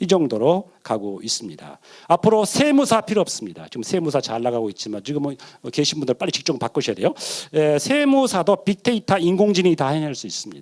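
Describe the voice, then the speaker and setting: A man speaks at a fairly high pitch with very wide pitch swings. His pace is fairly quick. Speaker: professor, seminar speaker. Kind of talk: lecture. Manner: fast.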